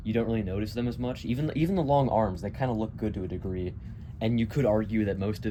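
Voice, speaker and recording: A man talks at a very fast pace with a dark, mellow tone. His pitch is fairly low, with ordinary variation. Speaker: Halloween prop collector. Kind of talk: casual product review to camera.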